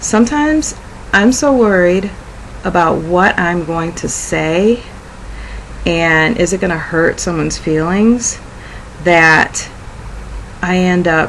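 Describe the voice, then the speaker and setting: Amid noticeable background noise, a woman speaks very slowly in a fairly low pitch with ordinary pitch variation. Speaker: video blogger. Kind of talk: personal reflection monologue. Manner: halting, frequent 'um' fillers.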